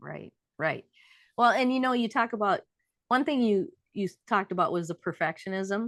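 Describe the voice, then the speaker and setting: Over a quiet background, a woman with a fairly high pitch and lively intonation speaks at a moderate pace with long, frequent pauses, the sound dry and close with no echo. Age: 60s. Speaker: marriage coach. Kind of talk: casual interview chat.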